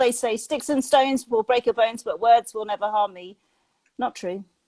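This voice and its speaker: On a very clean recording with a silent background and a dry, close sound without echo, a woman with a British accent speaks at a moderate pace in a high pitch with ordinary pitch variation. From Britain. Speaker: mindset and positivity coach. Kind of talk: interview.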